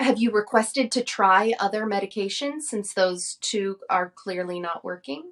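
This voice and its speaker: A woman with a plain, everyday voice at medium pitch, lively intonation, a moderate pace and hardly any pauses. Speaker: podcast host. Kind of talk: interview question.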